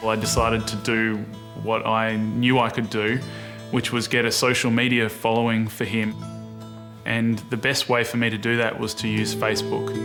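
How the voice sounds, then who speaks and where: A man speaks at a moderate pace in a medium pitch, his intonation flat and monotone, with music playing in the background. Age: young. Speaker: motorcycle rider.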